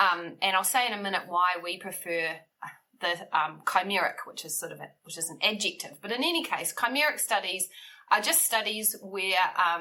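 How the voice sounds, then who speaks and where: The speaker has a New Zealand accent and a moderate pace. Pitch variation is ordinary, while loudness swings widely. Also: woman, medium pitch for a woman. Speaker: bioethics researcher. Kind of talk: interview. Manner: frequent ums, thoughtful pauses.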